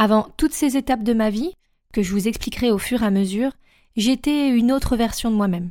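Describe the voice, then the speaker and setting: A woman speaks at a fairly slow pace with a fairly high pitch and a dark, mellow tone. Her pitch varies in an ordinary way, and the recording is very clean with a silent background. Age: 30s. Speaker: life coach, podcast host. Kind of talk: solo podcast monologue, self-introduction.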